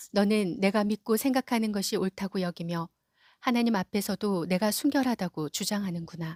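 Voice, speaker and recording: Recorded very cleanly against a silent background, a woman speaks at a medium pitch with ordinary pitch variation, her voice dry and close with no echo. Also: moderate pace. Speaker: office worker. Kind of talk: scripture reading.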